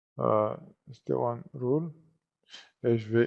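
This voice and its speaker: A man speaks at a very slow pace. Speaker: IT trainer. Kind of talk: tutorial. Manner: hesitant, many fillers.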